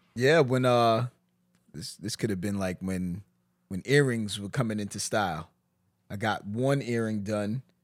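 With long, frequent pauses and big swings in loudness, a man talks at a fairly slow pace and fairly low pitch on a very clean recording with a silent background. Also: ordinary pitch variation. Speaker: comedian. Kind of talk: casual chat.

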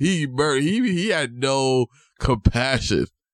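With a New York accent, the speaker sounds animated, with lively intonation, in a dry, close recording with no echo that is very clean, over a silent background. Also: man. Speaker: podcast host. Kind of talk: casual chat. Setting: home studio.

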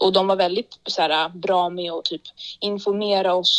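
Dry and close with no echo, the recording captures a woman with an unremarkable speaking voice at a medium pitch. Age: 20s. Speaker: rapper and actor. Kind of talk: casual chat.

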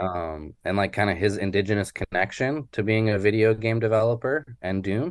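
Speaking at a moderate pace with hardly any pauses, a man has a fairly low pitch. It is a plain, everyday voice. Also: ordinary pitch variation. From Yukon, Canada (Haines Junction). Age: 30s. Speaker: comic artist. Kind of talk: interview. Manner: casual, many fillers.

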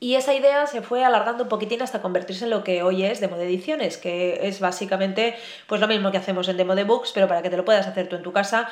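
A woman's medium-pitched voice has ordinary pitch variation and moves at a fairly quick pace. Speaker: podcast host and writer. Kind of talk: casual solo podcast monologue. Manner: hesitant, many filler sounds and pauses.

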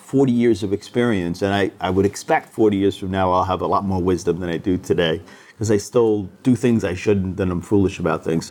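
With a fairly low pitch and ordinary pitch variation, this man has an unremarkable speaking voice. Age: 60s. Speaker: investment firm founder. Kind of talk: interview. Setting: office.

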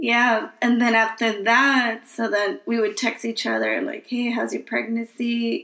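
A woman with an American accent uses a normal speaking voice at a fairly high pitch. She goes at a fairly slow pace with hardly any pauses and fairly even intonation. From Queens, New York. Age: 30s. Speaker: podcast host, mother. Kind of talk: casual chat.

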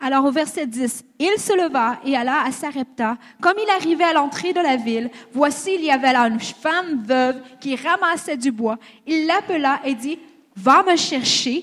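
Against noticeable background noise, a woman speaks at a fairly slow pace, her high pitch carried by lively intonation. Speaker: interpreter and conference speaker. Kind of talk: consecutive interpreting of a sermon, plus personal testimony.

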